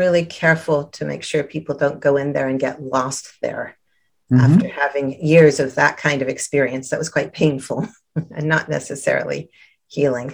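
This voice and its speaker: The voice keeps a moderate pace. Its intonation is fairly even. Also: woman. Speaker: therapist and guide. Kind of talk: guided meditation. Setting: video call. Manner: soft-spoken, soothing.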